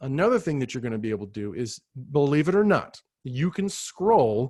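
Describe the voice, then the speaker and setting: A man with an unremarkable speaking voice talks at a moderate pace and a fairly high pitch. His intonation is lively, and the background is quiet. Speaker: ed tech trainer for teachers. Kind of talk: live virtual training tutorial. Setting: video call. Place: home room. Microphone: webcam.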